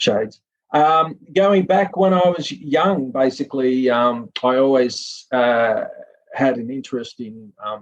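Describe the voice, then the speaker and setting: Speaking very slowly with a Sydney accent, a man at a medium pitch uses lively intonation. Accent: Australian (Sydney). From Australia, Sydney. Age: 50s. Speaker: film industry professional and author. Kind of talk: podcast interview.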